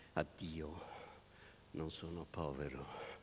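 Against light background noise, a man talks with monotone, flat intonation. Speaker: stage actor. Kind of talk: theatrical monologue. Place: stage. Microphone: headset.

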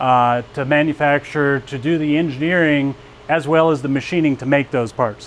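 Over light background noise, a man speaks at a fairly quick pace with monotone, flat intonation. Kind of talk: shop tour presentation. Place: factory. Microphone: lapel.

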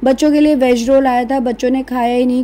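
A woman speaks fast with a fairly high pitch and little pitch movement. Her tone is dark and mellow.

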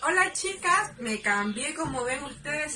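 A raised, projected voice comes through in a Chilean accent. Background noise is noticeable. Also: woman. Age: 20s. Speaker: student making a video tutorial. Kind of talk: tutorial. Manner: animated. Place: home room. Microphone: phone near.

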